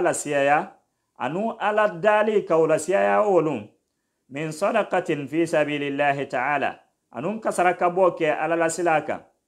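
In a quiet setting, a high-pitched man talks at a moderate pace, his pitch varying in an ordinary way. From Guinea, Dabola; Guinea. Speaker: Islamic preacher on radio. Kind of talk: radio sermon. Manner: formal. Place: studio. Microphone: studio mic.

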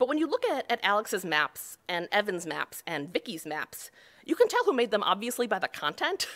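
With a Western New York accent, a woman speaks at a moderate pace and a fairly high pitch, her pitch swinging very widely. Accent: Western New York (Inland North) American. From Buffalo, New York. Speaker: cartographer; conference presenter. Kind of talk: conference talk. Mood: light, humorous. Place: hall.

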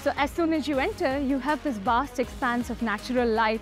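The pace is fairly quick, with clear music in the background. The sound is dry, without echo. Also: woman. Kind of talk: guided tour presentation. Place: factory.

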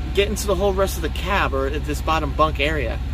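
Against noticeable background noise, a man speaks at a fairly quick pace with a dry sound and no echo. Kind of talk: tutorial. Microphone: phone near.

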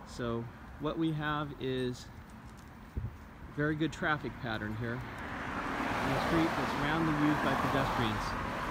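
A man speaks at a very slow pace with long, frequent pauses and ordinary pitch variation. The sound is dry with no echo, under loud background noise. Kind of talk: casual commentary. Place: street. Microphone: phone near.

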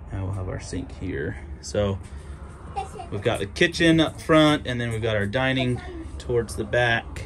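A man with a fairly low pitch at a moderate pace, over light background noise. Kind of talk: casual vlog tour. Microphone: phone near.

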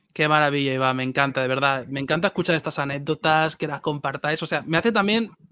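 A man speaks. The sound is dry, with no echo. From Spain. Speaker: film youtuber. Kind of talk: live stream chat. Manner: animated. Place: home room. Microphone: studio mic.

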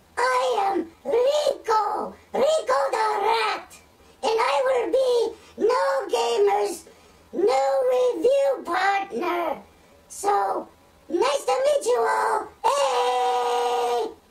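A squeaky, cartoonish character voice at an extremely high pitch, very slow pace and very wide pitch swings, over noticeable background noise. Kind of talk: comedic puppet banter. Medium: puppet show. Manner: excitable, opinionated. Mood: cheerful introduction.

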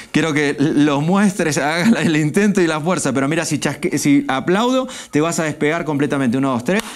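Using a normal speaking voice, a man speaks at a moderate pace with lively intonation and a fairly high pitch. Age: 40s. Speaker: stage hypnotist; guest. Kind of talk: hypnotic induction; interview chat.

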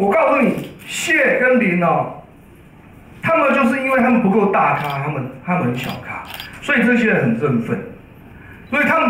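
A man talks at a fairly quick pace with very wide pitch swings. Audible room echo and light background noise are present. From Taiwan. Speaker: law professor. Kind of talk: press conference remarks. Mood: critical, sarcastic. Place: meeting room.

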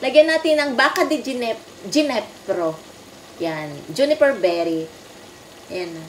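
A woman with a high voice talks fairly slowly, with very wide pitch swings, long, frequent pauses and light background noise. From Philippines. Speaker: home cook vlogger. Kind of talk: cooking tutorial. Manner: casual and chatty. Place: kitchen. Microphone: phone near.

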